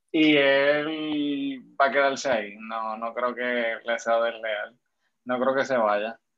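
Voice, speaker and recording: Here a man speaks at a very slow pace. His pitch is medium and his intonation fairly even. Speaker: podcast guest. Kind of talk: casual chat.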